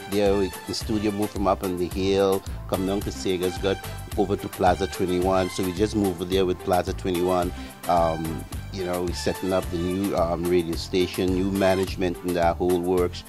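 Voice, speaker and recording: A man with a very deep, low pitch and fairly even intonation, over music in the background. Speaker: radio news team member, former colleague. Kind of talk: interview answer recalling a past meeting. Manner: casual, conversational.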